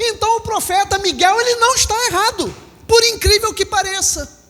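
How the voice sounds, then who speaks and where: Over noticeable background noise, a man with a Rio de Janeiro accent speaks in a raised, projected voice with an animated tone. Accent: Brazilian Portuguese, carioca (Rio). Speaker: pastor. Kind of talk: sermon. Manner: animated, with rhetorical questions to the congregation.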